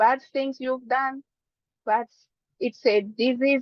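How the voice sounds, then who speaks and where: With a non-native accent, a woman talks at a high pitch. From Democratic Republic of the Congo. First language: not English. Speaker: physician. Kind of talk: presentation.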